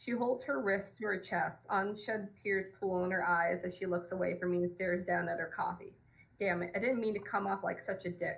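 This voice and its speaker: A woman's medium-pitched voice at a fairly quick pace with fairly even intonation. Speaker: romance author. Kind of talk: reading aloud. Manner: occasional stumbles while reading.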